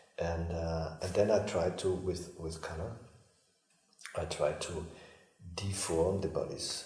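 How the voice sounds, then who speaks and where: A man's very deep, low voice, very slow and monotone, with long, frequent pauses and audible room echo. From Austria. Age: 50s. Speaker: artist. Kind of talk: interview. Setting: artist's home.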